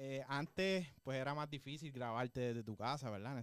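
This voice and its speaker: Here a man speaks in an unremarkable speaking voice. His pace is moderate and his pitch varies in an ordinary way. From Puerto Rico, Juana Díaz. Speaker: musician and music teacher. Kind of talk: interview. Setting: studio.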